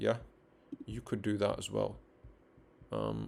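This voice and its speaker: A man is talking. His delivery unfolds fairly slowly. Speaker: networking instructor. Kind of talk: live-streamed tutorial. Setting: live stream.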